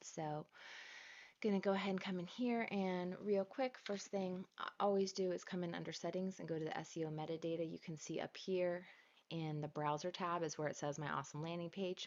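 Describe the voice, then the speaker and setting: Soft-spoken and fairly quick, a woman talks in a fairly low pitch. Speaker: online marketing trainer. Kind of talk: live screen-share tutorial. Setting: livestream with chat. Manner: casual.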